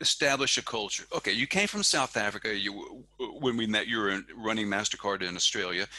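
A man's fairly low voice with a bright, sharp tone, at a moderate pace, dry with no echo over a quiet background. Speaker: podcast host. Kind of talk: interview. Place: home room. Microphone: headset.

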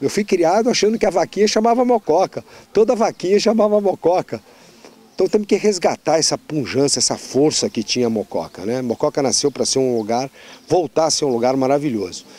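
A man talks at a fairly quick pace, his pitch fairly high and swinging very widely. His tone is dark and mellow, and the sound is dry with no echo. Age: 60. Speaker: politician. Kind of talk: interview. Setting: outdoors on a farm. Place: farm. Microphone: handheld.

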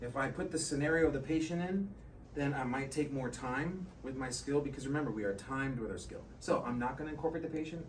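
Light noise fills the background. Over it, a man speaks very quickly. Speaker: nursing assistant instructor. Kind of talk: tutorial. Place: classroom. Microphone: camera far.

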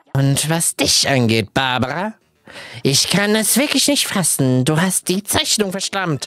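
A put-on character voice shouts at a middle pitch. The pace is fairly slow. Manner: scolding, imperious, shouting.

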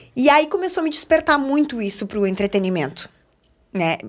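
A woman with a strong Gaúcho accent, lively intonation and a moderate pace, against a quiet background. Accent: strong Gaúcho countryside. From Rio Grande do Sul interior, Alecrim (border with Argentina); Rio Grande do Sul, Brazil. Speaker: TV journalist and presenter; TV journalist, presenter. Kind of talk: casual interview chat. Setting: studio. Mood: cheerful, warm. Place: studio. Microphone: studio mic.

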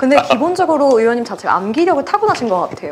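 A woman at a very fast pace over light background noise. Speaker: announcer. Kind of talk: live talk show. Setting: studio. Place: studio.

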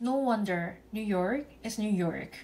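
A woman speaks with a Korean accent. Her pitch is fairly high. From South Korea. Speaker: vlogger. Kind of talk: vlog narration. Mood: reflective, gently frustrated.

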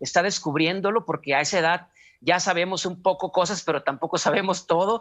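A man speaks at a fairly quick pace in a high pitch with ordinary pitch variation, against a quiet background. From Mexico, Culiacán, Sinaloa; Sinaloa, Mexico. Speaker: clown and actor; actor. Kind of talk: interview. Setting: video call. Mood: calm, reflective. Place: home room. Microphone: video call.

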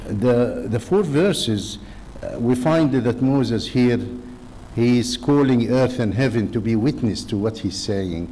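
A man's dark, mellow tone at a medium pitch, slow in pace, with lively intonation.

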